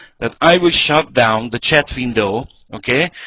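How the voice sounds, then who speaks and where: A man with a non-native accent, lively intonation and a fairly slow pace. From Hungary. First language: Hungarian. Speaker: network marketing presenter. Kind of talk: sales pitch. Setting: online webinar.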